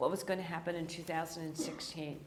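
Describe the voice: A raspy woman's voice with an American accent and audible room echo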